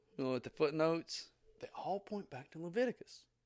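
Lively in intonation and at a fairly quick pace, the speaker talks with a Tennessee accent on a very clean recording with a silent background. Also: man. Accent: Southern US (Tennessee). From US South, southeast Tennessee. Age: 40s. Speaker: pastor. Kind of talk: sermon. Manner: casual, conversational.

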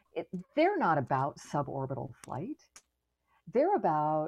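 A woman with an American accent. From US, Florida. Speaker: astronaut. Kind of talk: casual interview.

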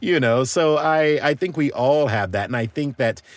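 This man speaks with an American accent at a medium pitch. There is vocal fry in his voice. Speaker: voice actor. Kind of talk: interview.

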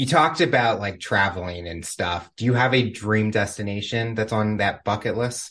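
A man with a plain, everyday voice and a fairly low pitch speaks at a moderate pace with ordinary pitch variation and hardly any pauses against a quiet background. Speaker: podcast host. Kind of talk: interview conversation. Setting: video call.

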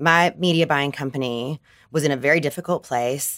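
Here a woman speaks with a Southern US accent at a moderate pace. The recording is very clean, with a silent background. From US South, Arkansas. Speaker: advertising entrepreneur. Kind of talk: casual chat.

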